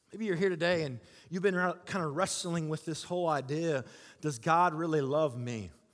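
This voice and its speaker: A man talks at a moderate pace with a fairly high pitch and ordinary pitch variation. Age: 40s. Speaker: guest preacher. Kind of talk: sermon. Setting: church stage with audience. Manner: animated.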